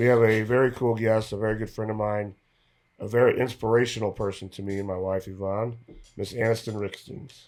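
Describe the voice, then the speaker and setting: A man's fairly low-pitched voice, monotone and flat in intonation, at a fairly quick pace. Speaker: podcast host. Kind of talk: podcast interview.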